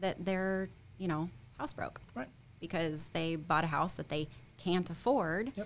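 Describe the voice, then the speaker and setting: Against light background noise, a woman speaks at a fairly low pitch and a fairly quick pace. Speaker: real estate agent. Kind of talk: casual interview. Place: studio. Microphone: studio mic.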